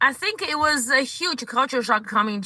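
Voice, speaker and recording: A woman speaks with a strong Chinese accent. Her tone is bright and sharp. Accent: thick Chinese. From China. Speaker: comedian. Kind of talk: interview. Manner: halting, with many fillers.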